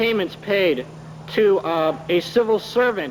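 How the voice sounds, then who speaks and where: A man speaks at a fairly slow pace with ordinary pitch variation. Noticeable background noise can be heard. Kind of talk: formal testimony to a parliamentary committee. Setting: committee hearing room, archival 1980 recording.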